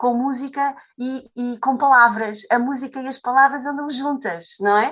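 Against a quiet background, a woman speaks with high pitch. Her pace is fairly slow. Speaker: Portuguese language teacher. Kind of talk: interview conversation. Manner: halting.

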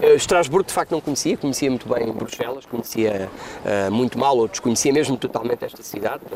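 A man speaks very fast at medium pitch with ordinary pitch variation, against noticeable background noise. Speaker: politician. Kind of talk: interview. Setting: parliament building.

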